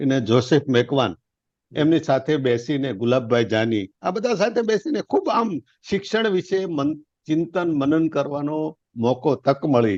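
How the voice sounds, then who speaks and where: Against a quiet background, a man with a fairly high pitch makes very wide pitch swings, the sound dry and close with no echo. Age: 70s. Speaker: retired industrialist and education trust leader. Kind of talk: interview.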